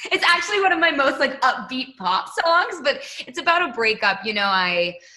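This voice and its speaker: With an American accent, a woman uses a raised, projected voice at a high pitch, making very wide pitch swings at a moderate pace. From Massachusetts, Boston. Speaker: pop singer. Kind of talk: casual interview.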